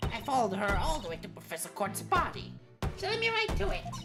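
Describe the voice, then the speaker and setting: Clear music plays in the background behind a put-on character voice delivered at a very fast pace. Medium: game stream. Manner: excitable, earnest.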